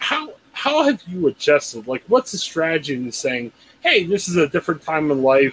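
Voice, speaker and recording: Against noticeable background noise, a man with a fairly high voice and an American accent speaks with lively intonation in a dry, close sound with no echo. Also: moderate pace. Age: 40s. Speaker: podcast host. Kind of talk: casual interview chat.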